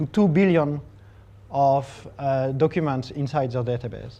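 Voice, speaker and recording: The speaker has a French accent and ordinary pitch variation. The background is quiet. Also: man. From France. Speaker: technology evangelist. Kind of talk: tech talk presentation.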